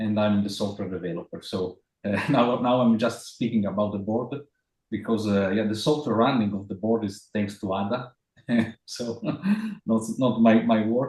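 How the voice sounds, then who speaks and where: With an Italian accent, a man talks at a moderate pace in a fairly low pitch and fairly even intonation. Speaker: software developer. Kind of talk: presentation in online meeting. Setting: video call. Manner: halting.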